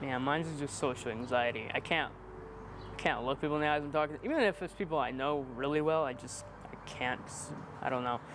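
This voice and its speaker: This man has a normal speaking voice. His pitch is fairly high, with ordinary pitch variation. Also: fairly quick pace. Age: young. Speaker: aspiring video creator, maintenance worker. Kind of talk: casual interview chat.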